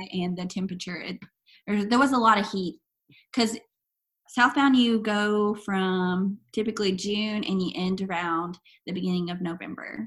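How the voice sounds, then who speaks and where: A woman with an American accent talks at a moderate pace in a medium pitch, somewhat breathy, with ordinary pitch variation. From US South, East Arkansas. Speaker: long-distance hiker. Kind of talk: interview.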